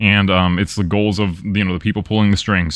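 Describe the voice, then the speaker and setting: Talking at a very fast pace, a man with a very deep, low pitch and a bright, sharp tone is heard in a very clean recording with a silent background. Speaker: live streamer. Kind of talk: casual chat. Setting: live stream. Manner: animated.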